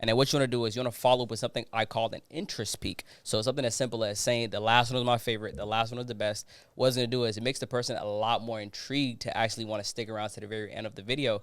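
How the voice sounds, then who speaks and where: Animated and at a very fast pace, a man speaks at a medium pitch with hardly any pauses. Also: very clean recording, silent background. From Ghana, moved to US as child. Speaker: social media expert. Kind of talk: podcast interview. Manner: casual, animated.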